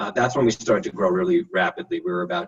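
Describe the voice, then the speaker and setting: A man speaks with a New York accent. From New York, Long Island. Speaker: architect, design firm director. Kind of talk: interview. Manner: casual with many fillers.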